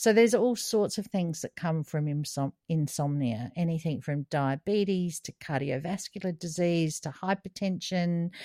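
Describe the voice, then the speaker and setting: A woman with an Australian accent speaks at a moderate pace in a fairly low pitch, with a dark, mellow tone, ordinary pitch variation, hardly any pauses, and a dry, close sound with no echo. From Australia (South Australia). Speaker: podcast co-host. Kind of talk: casual chat.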